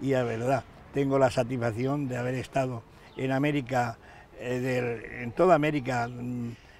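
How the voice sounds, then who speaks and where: A man's medium-pitched voice, flat and monotone, at a moderate pace. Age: 90s. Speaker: retired metalworker and writer, community figure. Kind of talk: interview. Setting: outdoors in a town square. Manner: halting, many fillers.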